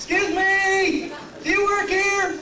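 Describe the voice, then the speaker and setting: A man puts on a squeaky character voice at an extremely high pitch. There is clear background noise and slight echo. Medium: stage play. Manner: clueless, fussy.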